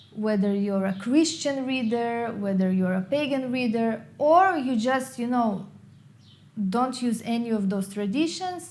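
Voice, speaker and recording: In an Israeli accent, a woman with a fairly high pitch speaks at a fairly slow pace with lively intonation, and room echo is audible. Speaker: tarot reader and YouTuber. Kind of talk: Q&A video monologue.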